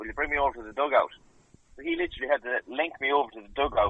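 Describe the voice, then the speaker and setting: This is a man speaking with an Irish Midlands accent. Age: 20s. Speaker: Gaelic footballer and coach. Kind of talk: interview.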